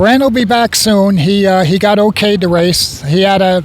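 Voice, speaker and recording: A man talks at a moderate pace with a high pitch and ordinary pitch variation. Noticeable background noise is present. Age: 70s. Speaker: veteran race car driver. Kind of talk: trackside interview.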